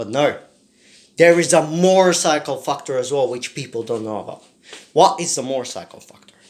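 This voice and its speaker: With a plain, everyday voice, a man speaks at a fairly quick pace and a fairly high pitch, using lively intonation and big swings in loudness. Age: 20s. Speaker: motorcycle vlogger. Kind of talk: casual vlog monologue.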